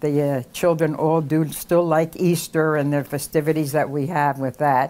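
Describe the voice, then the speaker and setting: Recorded very cleanly against a silent background, a woman with a Philadelphia accent speaks in a very deep, low pitch with a dark, mellow tone. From Philadelphia, US. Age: 80s+. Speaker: community elder interviewee. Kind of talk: oral history interview.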